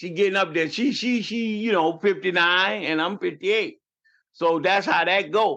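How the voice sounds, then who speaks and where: A man with an American accent uses a raised, projected voice. His pitch is high and his tone bright and sharp. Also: ordinary pitch variation, moderate pace. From Rochester, New York, with Southern family roots. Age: 50s. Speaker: podcast guest, host's father. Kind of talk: casual chat. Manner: halting, repetitive.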